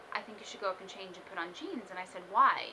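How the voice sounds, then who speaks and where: Over noticeable background noise, a woman speaks at a fairly quick pace. Her voice sits at a medium pitch, with an American accent. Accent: faint Brooklyn, can turn it on and off. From Brooklyn, New York. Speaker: aspiring morning show host. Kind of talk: audition video monologue. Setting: self-recorded on video camera. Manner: animated.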